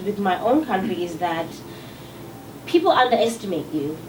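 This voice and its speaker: Audible room echo and noticeable background noise surround a woman speaking with a South African accent. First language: Xhosa. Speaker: singer-songwriter. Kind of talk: interview. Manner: halting.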